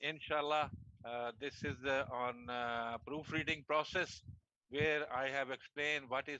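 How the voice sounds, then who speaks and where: A man speaks with a Pakistani accent at a moderate pace. His fairly high pitch and bright, sharp tone come through in a dry, close sound with no echo. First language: Urdu. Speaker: martial arts federation president. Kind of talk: video call panel discussion. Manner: halting.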